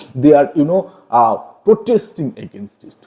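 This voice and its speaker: This man speaks with an Indian accent. His pitch swings very widely. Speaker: online literature teacher. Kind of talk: lecture. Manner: explanatory, frequent fillers like okay and got it.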